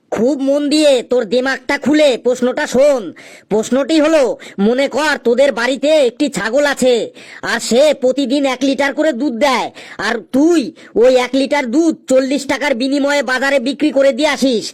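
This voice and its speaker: In a cartoonish character voice, a man talks at a moderate pace with an extremely high pitch. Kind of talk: comic cartoon voice. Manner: scolding, sarcastic.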